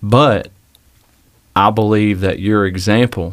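Monotone and flat, a man speaks in a fairly low pitch. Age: 30s. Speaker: young pastor, fill-in podcast host. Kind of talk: interview-style podcast conversation.

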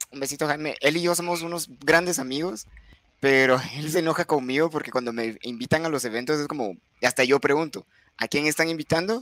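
This man has a normal speaking voice, fairly high in pitch, with ordinary pitch variation. He talks at a fairly quick pace, and the sound is dry and close with no echo. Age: 20s. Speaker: streamer. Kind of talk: casual chat.

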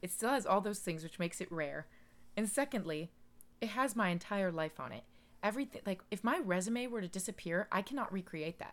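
A woman speaks at a fairly quick pace with lively intonation and a medium pitch. Her long pauses come often. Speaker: podcast host. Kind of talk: casual chat. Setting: home recording at night.

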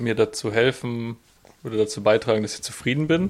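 The very clean recording, with a silent background, captures a man in an ordinary speaking voice. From southwest Germany (Freiburg). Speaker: podcast co-host, student and delivery driver. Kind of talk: casual chat.

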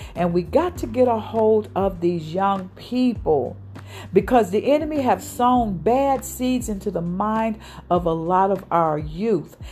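A woman with an unremarkable speaking voice, medium in pitch, lively in intonation, at a fairly slow pace. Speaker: radio host and ministry leader. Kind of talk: sermon-like preaching and prayer. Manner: fervent, urgent, exhorting.

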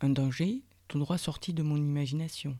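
A woman with a very deep, low pitch speaks at a fairly slow pace, her tone warm, dark and mellow. Her pitch varies an ordinary amount, and the recording is very clean with a silent background. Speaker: podcast host, personal development coach. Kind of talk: guided meditation. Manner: slow, soft, calming, with pauses between instructions; warm, intimate, addressing listener as tu.

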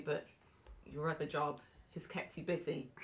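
With a British accent, a woman talks at a fairly quick pace. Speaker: podcast co-host. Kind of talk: interview conversation.

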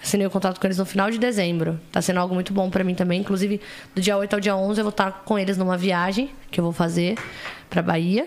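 Over noticeable background noise, a woman of medium pitch talks very fast. Her intonation is fairly even and her loudness very even. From interior of São Paulo state, Brazil. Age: 20s. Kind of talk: casual chat.

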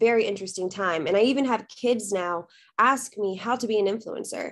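At a moderate pace, a woman with an American accent speaks in a plain, everyday voice. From South Texas. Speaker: dancer and content creator. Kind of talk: casual interview.

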